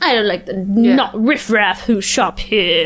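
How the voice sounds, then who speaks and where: A put-on character voice in a British accent, at a fairly slow pace over light background noise. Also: female-sounding voice, fairly high pitch for a woman. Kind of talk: posh, snobbish. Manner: haughty, disdainful.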